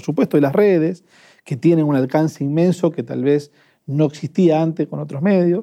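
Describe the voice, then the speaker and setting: A man talks at a moderate pace in a fairly high pitch, an ordinary speaking voice. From Argentina, Avellaneda (Buenos Aires). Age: 30s. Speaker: trade unionist. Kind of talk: casual chat.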